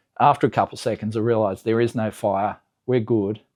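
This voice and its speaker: Over a quiet background, a man speaks quickly enough at a fairly low pitch in a dark, mellow tone. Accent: Australian. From Australia. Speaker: car enthusiast YouTuber. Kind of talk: casual vlog recap. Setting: home garage.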